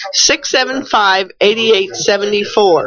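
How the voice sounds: Speaking at a slow pace, a woman has a fairly bright tone and ordinary pitch variation. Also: medium pitch for a woman.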